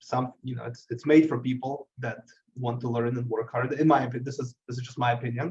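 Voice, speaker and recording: A man's somewhat breathy, medium-pitched voice in a monotone, flat intonation. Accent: non-native. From abroad, emigrated to US at age 13. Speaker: IT business owner. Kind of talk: interview. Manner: halting, many repetitions.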